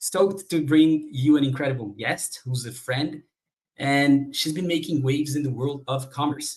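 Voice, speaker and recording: The man's voice is fairly high in pitch and somewhat breathy. He keeps a moderate pace with ordinary pitch variation. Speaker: podcast host. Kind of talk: interview questions, casual.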